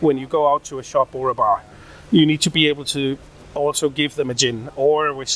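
A man with a Danish accent and a fairly high pitch talks at a fairly quick pace over noticeable background noise. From Denmark, Odense. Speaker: rum company founder. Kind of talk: interview. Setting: trade fair in Berlin.

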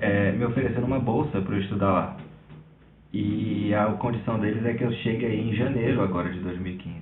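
Amid audible room echo and noticeable background noise, a man speaks at medium pitch and a moderate pace with fairly even intonation. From Brazil, Recife. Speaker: filmmaker sending a question. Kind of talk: recorded voice question.

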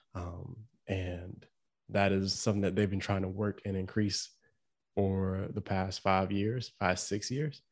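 On a very clean recording with a silent background, a man with an unremarkable speaking voice talks at a fairly low pitch and a fairly slow pace with fairly even intonation. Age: 20s. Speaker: family podcast co-host. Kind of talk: casual chat.

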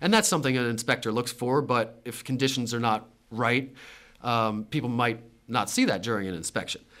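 Over a very clean recording with a silent background, a man of medium pitch speaks at a fairly quick pace with ordinary pitch variation. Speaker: real estate agent. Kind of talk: solo tutorial podcast, livestreamed. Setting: conference room, webcam livestream. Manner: fast; casual, many fillers.

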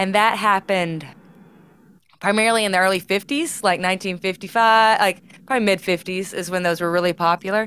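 A woman's medium-pitched voice, fairly quick with fairly even intonation, on a very clean recording with a silent background. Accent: American. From Mississippi Delta, US South. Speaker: museum curator. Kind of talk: casual interview chat.

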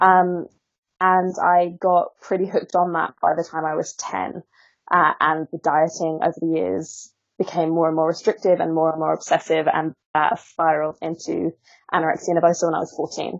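Her pitch fairly low, a woman speaks at a moderate pace with monotone, flat intonation. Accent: Essex. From Essex, England. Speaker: author and body-positivity influencer. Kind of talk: interview conversation. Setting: Skype call. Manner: articulate.

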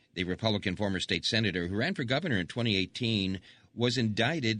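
A man with an unremarkable speaking voice talks at a fairly quick pace, his fairly low pitch moving with ordinary variation against a quiet background. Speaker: radio newsreader. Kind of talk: news reading. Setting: studio.

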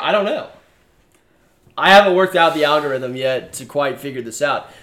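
A man with an ordinary speaking voice talks at a fairly quick pace, his pitch fairly high with ordinary pitch variation. His loudness swings widely. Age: 20s. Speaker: sports podcast host. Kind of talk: casual sports chat. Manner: frequent fillers (uh).

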